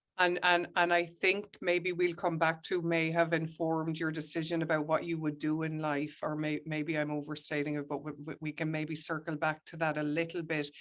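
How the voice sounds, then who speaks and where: Speaking at a moderate pace with hardly any pauses, a woman with an Irish accent uses a very deep, low pitch and a monotone, flat intonation. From Ireland. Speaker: historian, professor. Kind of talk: interview.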